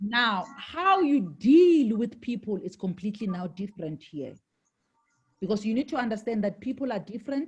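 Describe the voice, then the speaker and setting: Her pitch swings very widely. The woman sounds somewhat breathy. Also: fairly high pitch for a woman, moderate pace. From South Africa, Johannesburg. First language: Shangaan (Xitsonga). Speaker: network marketing leader, former IT executive. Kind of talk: interview.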